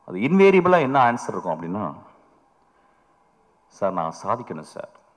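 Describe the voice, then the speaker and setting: A man at a medium pitch speaks with vocal fry, very wide pitch swings and big swings in loudness. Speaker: film director. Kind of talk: speech at a film trailer launch. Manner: humorous, anecdotal.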